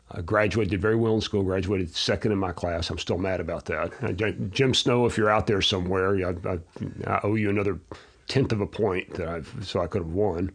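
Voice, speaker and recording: In an ordinary speaking voice, a man with a fairly low pitch talks at a fairly quick pace with fairly even intonation. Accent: American. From Texas (Abilene). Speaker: educator and entrepreneur. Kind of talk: interview.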